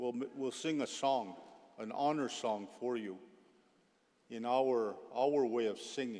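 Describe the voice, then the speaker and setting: Audible room echo surrounds a man's dark, mellow voice at medium pitch. He talks at a very slow pace with long, frequent pauses. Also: ordinary pitch variation. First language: Blackfoot. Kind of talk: ceremony speech. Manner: halting, many fillers.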